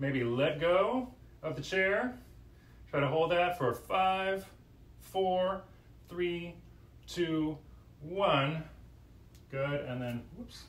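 With audible room echo, a man with fairly high pitch talks at a very slow pace, using lively intonation and long, frequent pauses. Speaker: fitness instructor. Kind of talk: yoga class instruction, live-streamed guided movement cues. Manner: calm, clear, directive, instructional pacing with pauses; conversational, slightly hesitant with filler words. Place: home room. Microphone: camera far.

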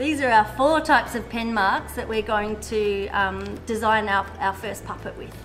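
Clear music plays behind the woman, who talks at a moderate pace. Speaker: art workshop teacher. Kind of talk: tutorial. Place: studio.

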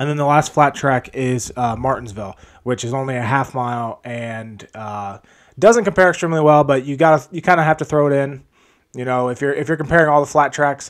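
Ordinary pitch variation at a fairly quick pace, against a quiet background. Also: man. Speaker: fantasy sports analyst. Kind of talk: commentary. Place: home room. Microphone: studio mic.

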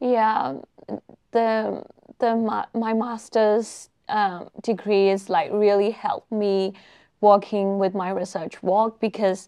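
A woman with a Burmese accent, very slow, with fairly even intonation and a dark, mellow tone over a quiet background. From Myanmar. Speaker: research fellow in epidemiology; guest. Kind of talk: online panel interview. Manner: hesitant, many fillers. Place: meeting room. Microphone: lapel.

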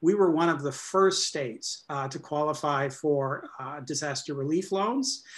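At a fairly slow pace, a man talks in a fairly high voice with ordinary pitch variation. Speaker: state economic development official. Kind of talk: panel discussion. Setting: video call. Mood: serious, measured. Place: home room. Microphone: webcam.

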